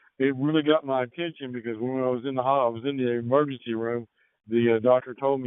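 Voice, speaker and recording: A man speaks at a fairly quick pace with an American accent and fairly even intonation. He has an unremarkable speaking voice. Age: 60s. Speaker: amateur radio operator. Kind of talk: radio net check-in. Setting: radio transmission.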